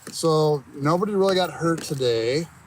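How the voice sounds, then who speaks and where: A man speaks at a fairly slow pace. He has a plain, everyday voice with ordinary pitch variation. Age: 60s. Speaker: landowner helping with habitat work. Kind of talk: casual chat. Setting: outdoors.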